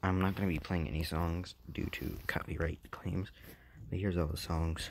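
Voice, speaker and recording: Very deep, low male voice at a moderate pace with fairly even intonation. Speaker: gaming YouTuber. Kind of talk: gameplay commentary.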